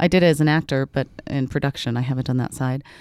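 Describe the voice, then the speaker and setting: A woman with an American accent, a dark, mellow tone and fairly even intonation, in a dry, close sound with no echo and a very clean recording against a silent background. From Utah, Salt Lake City. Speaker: actress and filmmaker. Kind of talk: casual interview. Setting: studio.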